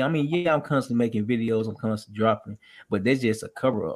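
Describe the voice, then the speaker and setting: A man's medium-pitched voice, animated in tone, with ordinary pitch variation. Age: 20s. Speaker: podcast host. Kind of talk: casual interview.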